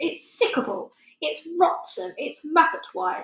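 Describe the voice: A woman uses a put-on character voice, high in pitch and fairly bright in tone, with vocal fry. Her intonation is lively and her pace fairly slow.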